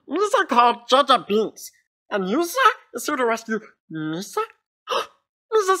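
Using a put-on character voice, a female-sounding speaker talks at a moderate pace with high pitch, very wide pitch swings and long, frequent pauses. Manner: excitable, silly.

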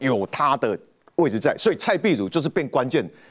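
A man's fairly quick delivery with very wide pitch swings and vocal fry. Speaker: political commentator. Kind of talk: panel discussion.

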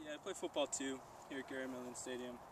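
There is noticeable background noise. A man talks in a dry space without any echo. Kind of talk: mock interview answer. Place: open country. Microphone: camera far.

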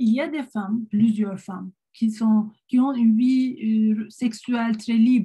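Very slow, somewhat breathy speech in a Turkish accent, dark and mellow in tone, with fairly even intonation. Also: woman, fairly high pitch for a woman. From Turkey. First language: Turkish (speaking French). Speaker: psychiatrist; presenter. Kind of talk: online panel talk. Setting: video call. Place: home room. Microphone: webcam.

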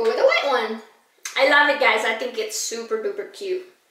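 A woman's voice with audible room echo. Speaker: haul vlogger. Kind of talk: casual vlog chat. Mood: upbeat, enthusiastic. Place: home room. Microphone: camera far.

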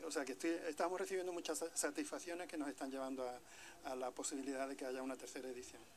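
Over light background noise, a man talks very fast with ordinary pitch variation. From Andalusia, San Fernando (Cádiz). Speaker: novelist. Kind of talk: interview. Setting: outdoors. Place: street. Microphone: handheld.

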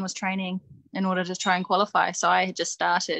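With a New Zealand accent, a woman talks at a fairly quick pace in a dry, close sound with no echo. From New Zealand (Nelson, Christchurch). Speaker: wrestler and coach. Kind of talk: interview.

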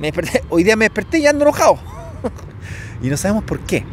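A man with a Chilean accent, dry sound with no echo, and light background noise. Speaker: entrepreneur video host. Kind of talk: casual interview. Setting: outdoors in a park. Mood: relaxed, friendly. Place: open country. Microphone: lapel.

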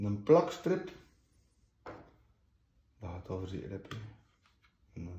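A man's very slow, somewhat breathy speech in a West Flemish accent, dark and mellow in tone, with very wide pitch swings, long, frequent pauses and audible room echo. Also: fairly low pitch for a man, quiet background. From West Flanders, Belgium. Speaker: unboxing host. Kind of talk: casual unboxing talk to camera. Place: home room. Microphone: phone near.

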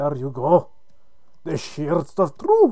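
In a put-on character voice, the speaker holds a middle pitch.

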